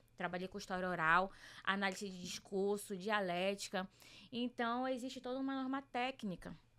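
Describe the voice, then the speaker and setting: In a very clean recording with a silent background, a woman with a bright, sharp tone talks at a moderate pace and medium pitch. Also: ordinary pitch variation. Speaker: journalist and researcher. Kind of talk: podcast interview.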